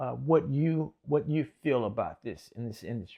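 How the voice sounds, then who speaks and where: A man speaks in a plain, everyday voice, pitched fairly high, with lively intonation. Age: 60s. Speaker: podcast host and gospel artist. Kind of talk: interview conversation.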